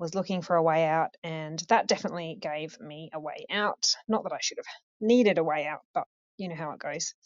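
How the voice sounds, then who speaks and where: In an ordinary speaking voice, a woman talks at a fairly low pitch with ordinary pitch variation and big swings in loudness. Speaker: caller going through chemo. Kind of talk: voicemail message. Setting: phone call.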